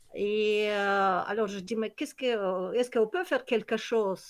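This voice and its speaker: Against a quiet background, a woman with a fairly high pitch speaks at a fairly slow pace. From Kyrgyzstan. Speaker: nature conservation project founder. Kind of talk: online presentation. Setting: video call. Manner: halting, many hesitations.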